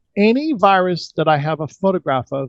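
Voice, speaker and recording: Recorded with a dry, close sound and no echo, a man in a normal speaking voice talks at a moderate pace with lively intonation. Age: 60s. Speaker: energy healing practitioner. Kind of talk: interview.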